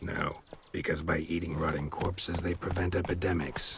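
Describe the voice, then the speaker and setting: A man does a put-on character voice, very deep and raspy, in a deadpan, monotone delivery with flat intonation. Background noise is clearly audible. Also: moderate pace. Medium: video game. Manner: terse, deadpan.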